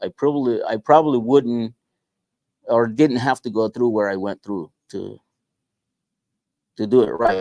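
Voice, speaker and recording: This man has a dark, mellow tone at a medium pitch, talking at a moderate pace in a dry, close sound with no echo. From Guatemala. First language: Spanish. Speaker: small business owner. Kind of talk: interview. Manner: halting.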